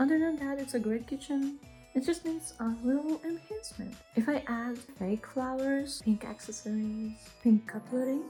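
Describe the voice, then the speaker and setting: Over music in the background, a speaker with a non-native accent talks at a moderate pace with lively intonation. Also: woman. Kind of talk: casual house tour talk to camera. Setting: home recording with sound issues.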